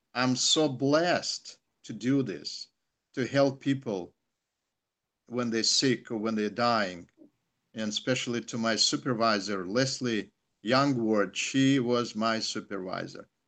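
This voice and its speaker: A man with a Russian accent at medium pitch, ordinary pitch variation and long, frequent pauses, in a quiet background. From Soviet Union. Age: 60s. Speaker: chaplain. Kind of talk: testimony. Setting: video call. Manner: halting.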